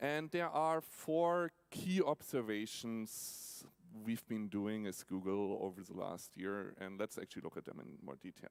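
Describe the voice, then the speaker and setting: Speaking with a German accent at a fairly slow pace and fairly low pitch, a man barely pauses, his pitch swinging very widely and his loudness shifting in big swings. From Germany, Nuremberg. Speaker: tech company automotive executive. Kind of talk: keynote talk. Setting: stage with audience in an opera house.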